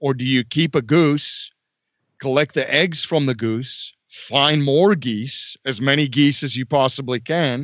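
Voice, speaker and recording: Speaking with a South African accent, a man talks at a fairly slow pace with a fairly high pitch. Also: ordinary pitch variation. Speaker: real estate investor and podcaster. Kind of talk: interview.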